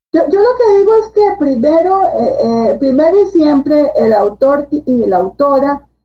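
A high-pitched woman with a Costa Rican accent and very wide pitch swings. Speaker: book editor and publisher. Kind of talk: casual interview. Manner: hesitant, many fillers.

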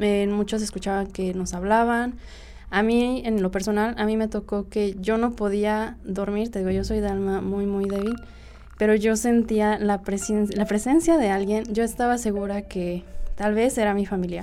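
Speaking with a central Mexican accent, a woman keeps her intonation fairly even. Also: medium pitch for a woman, moderate pace. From Mexico, Cuautla, Morelos. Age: young. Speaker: podcast guest. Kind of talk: casual storytelling of personal anecdotes.

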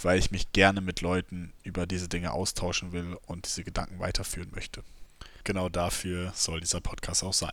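Very deep and low, a man's voice moves at a fairly quick pace in a flat monotone. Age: 20s. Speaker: podcast host, student. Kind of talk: solo podcast monologue. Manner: casual, with frequent fillers.

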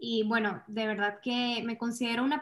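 This woman has a fairly high pitch. Her intonation stays monotone and flat. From Venezuela. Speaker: content creator. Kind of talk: interview.

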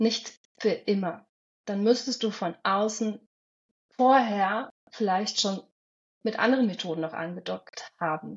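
A woman speaks fairly slowly in a somewhat breathy, medium-pitched voice with ordinary pitch variation. Her pauses are long and frequent. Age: 40s. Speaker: hypnosis coach. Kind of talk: interview.

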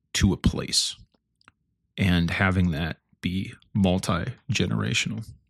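On a very clean recording with a silent background, a man speaks with a Midwestern American accent in a very deep, low voice. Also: dry, close sound with no echo. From north central Illinois. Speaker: podcast host. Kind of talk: solo reflective monologue. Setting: at home early morning. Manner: halting, many fillers.

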